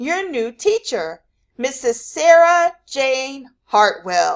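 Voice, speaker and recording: A woman uses a put-on character voice, high in pitch with very wide pitch swings. She speaks at a very slow pace. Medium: read story. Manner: effusive, brisk.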